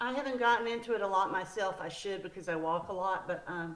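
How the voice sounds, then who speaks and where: Audible room echo surrounds a woman with a Southern US accent, who talks at a moderate pace and a medium pitch with ordinary pitch variation. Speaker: book author. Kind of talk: interview.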